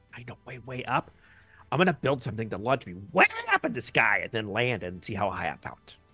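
A put-on character voice at a low-to-middle pitch moves at a fairly quick pace over faint background music. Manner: eager, excitable.

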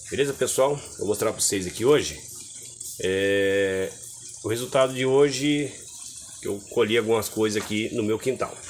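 With long, frequent pauses, a man speaks at a moderate pace and ordinary pitch variation over light background noise. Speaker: home gardener vlogger. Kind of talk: casual vlog chat. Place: garden. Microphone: phone near.

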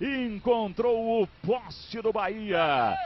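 There is noticeable background noise as a man talks in an extremely high pitch. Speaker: football play-by-play commentator. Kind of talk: live commentary. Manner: animated.

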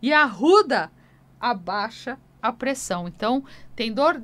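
A woman with a high voice talks at a fairly slow pace. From Brazil. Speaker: radio host and folk healer; radio host. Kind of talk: radio call-in show. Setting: radio studio. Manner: animated. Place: studio. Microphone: studio mic.

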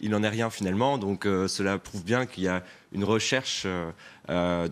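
Using ordinary pitch variation, a man with a fairly low pitch speaks at a moderate pace. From France, Pays de la Loire. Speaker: regional politician. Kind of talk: TV news interview. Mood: defensive, argumentative political talk. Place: studio. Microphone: lapel.

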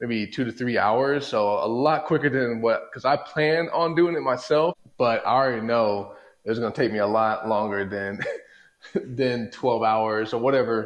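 A man is talking, his pitch varying in an ordinary way. Nothing else is heard behind him. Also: moderate pace. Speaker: home garage DIY vlogger. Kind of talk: casual vlog chat. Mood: excited, upbeat. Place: garage. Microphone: lapel.

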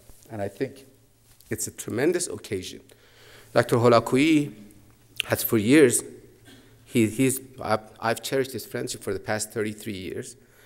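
A man with a Persian accent speaks at a fairly slow pace, with ordinary pitch variation and long, frequent pauses. The background is quiet. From Iran, Mashhad; Iran. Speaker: professor of comparative literature. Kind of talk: lecture. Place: hall. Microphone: podium.

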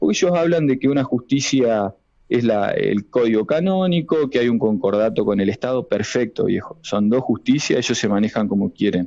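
A man talks at a moderate pace in an unremarkable speaking voice. His pitch is medium and his intonation lively. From Argentina, Entre Ríos (Villaguay). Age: 40s. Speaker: psychiatrist, abuse survivor. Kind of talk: radio interview testimony.

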